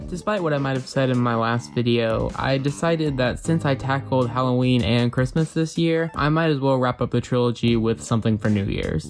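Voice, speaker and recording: Lively intonation at a fairly quick pace over music in the background. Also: man, medium pitch for a man, very even loudness. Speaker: video essayist. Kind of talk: video review narration.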